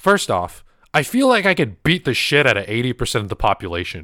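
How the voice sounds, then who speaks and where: Very wide pitch swings and vocal fry from a man with an American accent, in a very clean recording with a silent background. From US. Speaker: podcast host and streamer. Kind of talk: casual chat.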